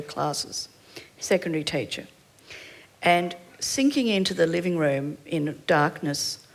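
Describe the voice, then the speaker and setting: Over noticeable background noise, a woman with a fairly low pitch speaks at a fairly slow pace with lively intonation. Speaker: panelist. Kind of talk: panel discussion.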